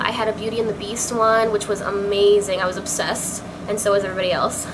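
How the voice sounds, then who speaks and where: A woman speaks in an animated tone. Audible room echo and noticeable background noise surround her. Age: 20s. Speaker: beauty vlogger. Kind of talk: casual chat. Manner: fast.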